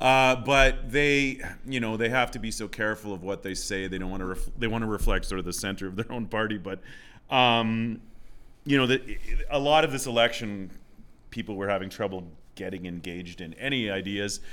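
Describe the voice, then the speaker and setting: With a Canadian Prairie accent, a man speaks at a fairly quick pace. His medium-pitched voice has a bright, sharp tone and ordinary pitch variation. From Southwest Saskatchewan, Canada. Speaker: high school English teacher. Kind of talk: casual interview chat.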